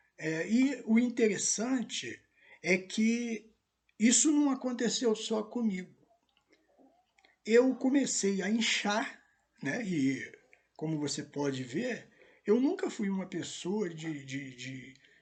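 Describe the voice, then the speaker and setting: Very slowly and with long, frequent pauses, a man speaks in a high pitch with very wide pitch swings. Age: 60s. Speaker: pastor. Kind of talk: testimony. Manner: hesitant, many fillers.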